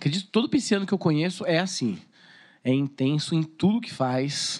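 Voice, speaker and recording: Against a quiet background, a man talks at a moderate pace in a fairly high pitch. His is an unremarkable speaking voice with ordinary pitch variation. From Brazil, Suzano (São Paulo state). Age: 30s. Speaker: TV presenter and marketing businessman. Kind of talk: casual chat.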